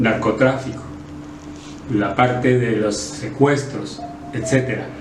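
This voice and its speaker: Amid noticeable background noise, a man speaks very slowly in a medium pitch with lively intonation. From Sonora, Mexico. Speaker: politician and former radio announcer. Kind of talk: interview answer.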